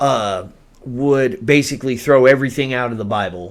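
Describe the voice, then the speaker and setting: Speaking in an Oklahoma accent, a man with a medium-pitched voice talks at a moderate pace with ordinary pitch variation. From Oklahoma, US. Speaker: podcast co-host. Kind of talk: casual chat.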